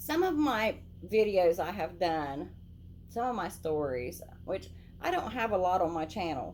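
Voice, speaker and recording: Long, frequent pauses in fairly slow speech with an Appalachian accent. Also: woman. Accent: Appalachian country. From southern Ohio, Lawrence County (Appalachian). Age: old. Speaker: YouTube channel host. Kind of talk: casual vlog talk to camera. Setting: indoors, lights turned down low.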